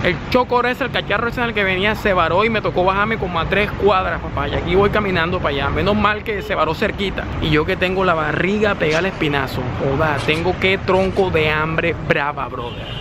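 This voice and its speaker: Projecting his voice loudly, a man talks at a fairly quick pace with hardly any pauses and ordinary pitch variation, over noticeable background noise. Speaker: vlogger. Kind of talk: casual vlog chat. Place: street. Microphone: phone near.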